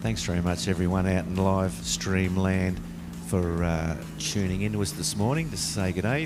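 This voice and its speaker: In an Australian accent, a man talks at a moderate pace with a very deep, low pitch. His pitch swings very widely, and audible room echo surrounds the voice. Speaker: sports commentator. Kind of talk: live commentary. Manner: speaking quietly.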